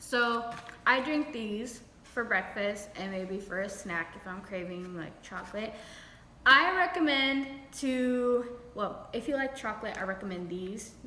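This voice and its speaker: Amid noticeable background noise and audible room echo, a woman with an American accent speaks at a fairly high pitch with lively intonation and big swings in loudness. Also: fairly slow pace. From New York. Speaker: beauty and lifestyle vlogger. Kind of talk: casual vlog talk to camera. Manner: casual, chatty.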